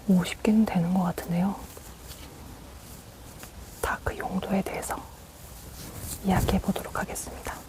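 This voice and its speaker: Whispering with long, frequent pauses, the voice comes through noticeable background noise. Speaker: ASMR creator. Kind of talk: ASMR whispered talking, makeup brush explanation. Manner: whispered, soft-spoken, slow.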